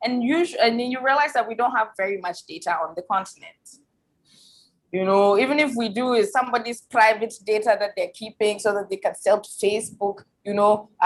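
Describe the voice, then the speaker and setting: A woman with a strong Ghanaian accent, a fairly high pitch and ordinary pitch variation. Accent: thick Ghanaian. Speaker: tech expert and academic. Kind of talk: panel discussion. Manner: many fillers and repetitions.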